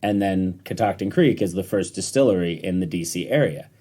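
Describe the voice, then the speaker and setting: He is a man with an American accent. His tone is dark and mellow at a moderate pace. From US, upstate New York (Rochester). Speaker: distiller. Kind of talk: podcast interview. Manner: relaxed, hesitant fillers.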